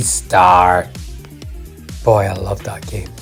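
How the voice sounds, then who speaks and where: Background music under a man speaking at a moderate pace. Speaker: retro gaming video host. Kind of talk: documentary-style narration on retro video game history.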